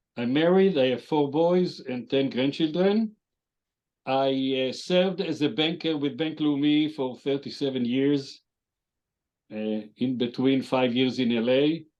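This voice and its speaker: A man with an Israeli accent speaks at a fairly slow pace and a fairly high pitch, with ordinary pitch variation. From Israel, Jerusalem. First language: Hebrew. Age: 70s. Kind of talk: interview. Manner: halting, with many fillers.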